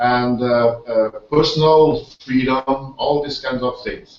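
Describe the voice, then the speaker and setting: Speaking with a Portuguese accent, this man takes his words very slowly. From Portugal. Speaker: online business team leader. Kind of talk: webinar hosting. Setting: online video hangout. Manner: halting, many fillers and repetitions.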